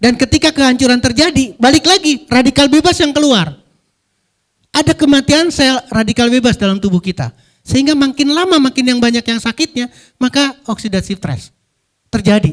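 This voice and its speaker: A man with an extremely high pitch talks at a fairly quick pace in an animated tone with lively intonation, the sound dry and close with no echo. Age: 60s. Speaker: physician and pharmaceutical industry trainer. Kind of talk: health seminar talk.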